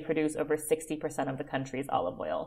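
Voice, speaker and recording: With an American accent, a woman talks at a moderate pace in a very deep, low voice with fairly even intonation. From US West Coast, Oakland, California. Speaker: olive oil producer and founder. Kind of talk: interview.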